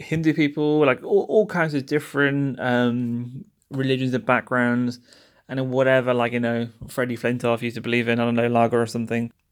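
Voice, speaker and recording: Recorded very cleanly against a silent background, a man with a British accent talks at a fairly quick pace with ordinary pitch variation. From London. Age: 30s. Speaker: podcast host. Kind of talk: casual monologue. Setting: recording in a service station. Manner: chatty, humorous, self-deprecating.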